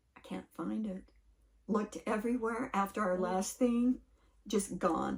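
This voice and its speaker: Soft-spoken, somewhat breathy woman at a very slow pace, fairly high in pitch with ordinary pitch variation. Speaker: channel owner and podcast co-host. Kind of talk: casual chat.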